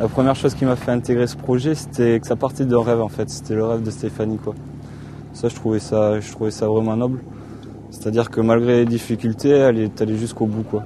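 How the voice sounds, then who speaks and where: A man talks at medium pitch while noticeable background noise fills the recording. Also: fairly even intonation, fairly quick pace. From southwest France, Landes coast. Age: 20s. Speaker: sailing crew member and ship's cook. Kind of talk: documentary interview. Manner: hesitant, many fillers.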